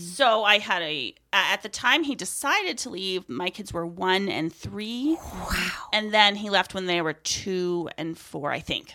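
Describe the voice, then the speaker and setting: Over noticeable background noise, a woman at a medium pitch speaks at a fairly slow pace with lively intonation and hardly any pauses. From northern Maine (Aroostook County). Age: 40s. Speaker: soap maker and foster parent. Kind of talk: testimony.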